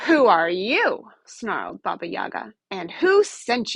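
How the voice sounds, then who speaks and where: A woman's put-on character voice, growling and menacing, fairly high in pitch, with big swings in loudness at a fairly slow pace. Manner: snarling, menacing.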